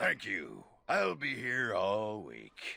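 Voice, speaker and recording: In a put-on character voice, a man sounds raspy and fairly low-pitched. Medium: video game. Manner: gruff, crude.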